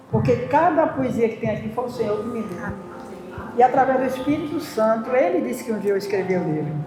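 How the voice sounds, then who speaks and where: A woman with a fairly high voice talks at a fairly quick pace and with lively intonation, with audible room echo and noticeable background noise. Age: 60s. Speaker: church member and poetry author. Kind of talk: testimony.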